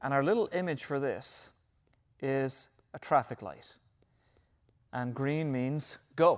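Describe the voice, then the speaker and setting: Speaking at a very slow pace with long, frequent pauses, this voice carries an Irish accent on a very clean recording with a silent background. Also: man, fairly high pitch for a man, ordinary pitch variation. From Ireland. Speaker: pastor. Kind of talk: sermon. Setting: church.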